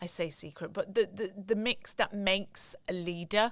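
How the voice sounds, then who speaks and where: Speaking in a northern English accent, a woman holds a medium pitch with fairly even intonation. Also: very clean recording, silent background. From northern England. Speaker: luxury retail consultant. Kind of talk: interview conversation.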